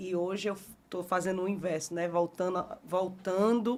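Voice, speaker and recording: At a moderate pace, a woman talks in a medium pitch with monotone, flat intonation on a very clean recording with a silent background. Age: 40s. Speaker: history teacher. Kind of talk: podcast interview. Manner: halting.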